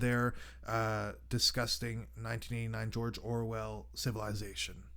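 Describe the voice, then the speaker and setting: A man talks at a moderate pace. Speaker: radio show host. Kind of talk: monologue commentary.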